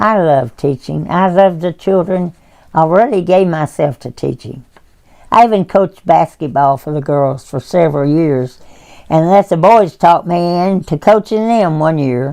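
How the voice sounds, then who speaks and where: The voice moves at a moderate pace with ordinary pitch variation. Its tone is dark and mellow. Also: woman, fairly low pitch for a woman. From Tennessee. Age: 80s+. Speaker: retired schoolteacher. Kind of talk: personal testimony reading.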